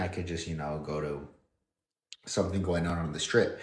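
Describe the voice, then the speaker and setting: Somewhat breathy and very fast, a man with an American accent talks over audible room echo. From northern Nevada, US. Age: 30s. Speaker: fitness model and livestreamer. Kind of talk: casual livestream chat. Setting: livestream at home. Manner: casual, hesitant with fillers and repeats.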